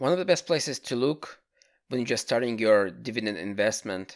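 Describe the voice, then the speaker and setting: A man with a non-native accent speaks at medium pitch and a moderate pace, with vocal fry and lively intonation. The recording is very clean, with a silent background. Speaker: amateur dividend investor. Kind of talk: casual finance talk to camera.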